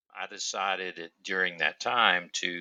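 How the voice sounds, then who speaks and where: A man speaks with a Southern US accent. His pace is fairly slow. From US South, upstate South Carolina. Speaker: teacher and author. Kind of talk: podcast interview.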